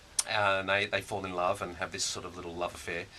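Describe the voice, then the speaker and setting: A man with an Australian accent, a very deep, low pitch and a very fast pace, over noticeable background noise. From Australia, Sydney. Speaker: musical theatre puppeteer actor. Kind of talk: radio interview. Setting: radio studio. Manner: halting.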